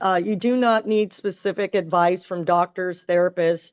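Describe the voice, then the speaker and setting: A woman with an American accent and a plain, everyday voice, fairly even intonation and a moderate pace. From northern California. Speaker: artistic swimming coach. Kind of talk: webinar presentation.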